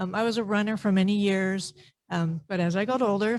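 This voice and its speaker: A woman's voice comes through somewhat breathy. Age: 60s. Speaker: public commenter at park board meeting. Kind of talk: public comment testimony.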